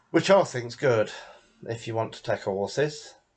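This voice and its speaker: With an English accent, a man speaks at a medium pitch and a fairly slow pace against a quiet background. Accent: English accent, dropped h. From England. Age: 60s. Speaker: gaming video creator. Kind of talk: gameplay tutorial. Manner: casual, halting.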